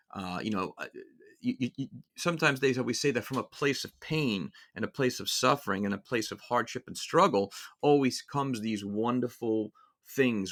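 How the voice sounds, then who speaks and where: Recorded very cleanly against a silent background, a man with a New York accent talks at medium pitch with ordinary pitch variation. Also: moderate pace. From New York City (Brooklyn and Queens). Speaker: music podcast host. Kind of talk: casual monologue. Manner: halting, many fillers and repeats.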